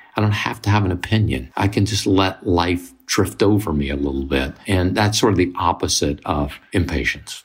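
With music in the background, a man with a very deep, low voice and an American accent speaks at a moderate pace, with ordinary pitch variation and hardly any pauses. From US South, Mississippi. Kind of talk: casual chat.

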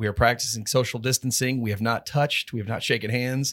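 A man with an American accent speaks at medium pitch in an ordinary speaking voice. The recording is very clean with a silent background. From Texas. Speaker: podcast host. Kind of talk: interview. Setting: studio.

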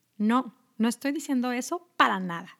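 At a fairly slow pace, a woman speaks in a high pitch on a very clean recording with a silent background. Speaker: health coach. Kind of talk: podcast monologue.

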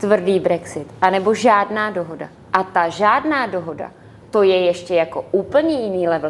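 Using a normal speaking voice, a woman talks at a moderate pace and medium pitch. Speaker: member of European Parliament. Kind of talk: televised political debate.

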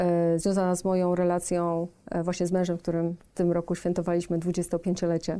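A woman with a dark, mellow tone and fairly low pitch speaks in a monotone, flat way at a moderate pace on a very clean recording with a silent background. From south-eastern Poland. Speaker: business executive and board member. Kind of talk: podcast interview.

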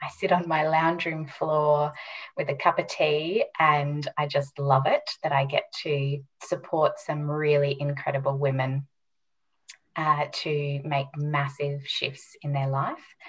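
A woman's very deep, low voice, somewhat breathy, very slow and monotone with flat intonation. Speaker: health and mindset coach. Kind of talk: interview.

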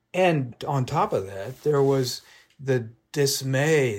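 Somewhat breathy and with ordinary pitch variation, the voice comes in a General American accent on a very clean recording with a silent background. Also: man. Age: 70s. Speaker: magazine journalist and author. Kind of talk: interview about his book.

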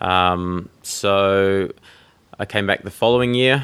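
This man has an Australian accent. His pitch is very deep and low. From Tasmania, Australia. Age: 30s. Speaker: professional triathlete. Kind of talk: interview.

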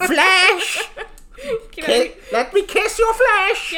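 An extremely high, female-sounding put-on character voice over light background noise. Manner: sweet, affectionate.

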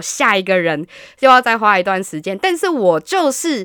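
The recording is very clean, with a silent background and a dry, close sound with no echo. The pitch swings very widely. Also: woman. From Taiwan, Hsinchu. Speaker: podcast guest sharing dating-app experiences. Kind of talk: casual chat.

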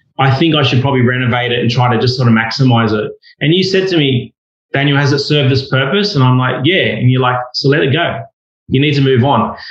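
With audible room echo, a man talks at a very fast pace in a somewhat breathy, medium-pitched voice with ordinary pitch variation and very even loudness. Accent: Australian. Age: 40s. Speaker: property investor. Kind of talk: casual chat.

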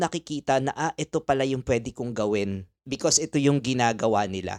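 At a fairly quick pace with hardly any pauses, a man with a Filipino accent and medium pitch speaks against a quiet background, in a dry, close sound with no echo. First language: Tagalog. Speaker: podcast host. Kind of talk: casual chat.

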